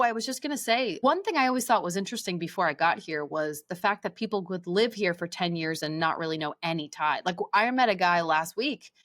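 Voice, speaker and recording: On a very clean recording with a silent background, a woman with a New Jersey accent speaks at a fairly quick pace with hardly any pauses, a medium pitch and lively intonation. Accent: American, New Jersey. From New Jersey, USA. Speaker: voice actor. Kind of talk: interview answer.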